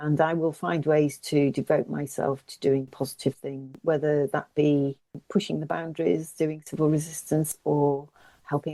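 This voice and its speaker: A woman with an English accent, very deep and low in pitch, dark and mellow in tone, at a moderate pace with fairly even intonation and a dry, close sound with no echo. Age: 60s. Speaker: climate campaigner. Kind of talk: interview. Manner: hesitant.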